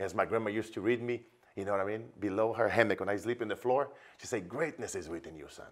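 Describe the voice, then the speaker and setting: The background is quiet while a man rattles along at a very fast pace. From Brazil. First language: Portuguese. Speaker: business coach. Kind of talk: promotional interview chat. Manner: animated. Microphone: lapel.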